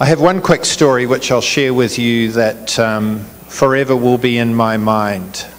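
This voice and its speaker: A man with a New Zealand accent at a fairly slow pace, medium pitch, ordinary pitch variation and very even loudness, over noticeable background noise. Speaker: business executive, chief guest. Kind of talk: public speech. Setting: community event with audience.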